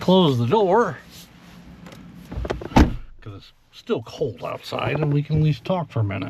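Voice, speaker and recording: Amid noticeable background noise, a man with a fairly high voice speaks at a moderate pace with long, frequent pauses, very wide pitch swings, and big swings in loudness. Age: 60s. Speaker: retiree after a manufacturing career. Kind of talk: casual podcast talk to camera. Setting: in a car. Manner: reflective, relaxed, with frequent fillers.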